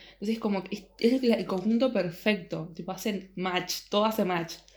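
The recording is very clean, with a silent background. A woman with an unremarkable speaking voice talks at a fairly quick pace with fairly even intonation. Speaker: podcast co-host. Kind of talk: casual chat.

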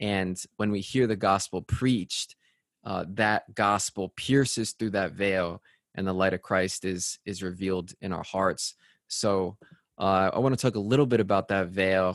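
A man with an American accent and an unremarkable speaking voice, fairly low in pitch, fairly slow and fairly even in intonation, recorded dry and close with no echo against a quiet background. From Connecticut, US. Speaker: radio host. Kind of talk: casual chat.

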